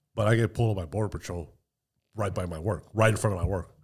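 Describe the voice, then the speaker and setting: Speaking at a very fast pace, a man with a fairly low pitch sounds somewhat breathy on a very clean recording with a silent background. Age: 40s. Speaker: gun store manager. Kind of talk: casual chat.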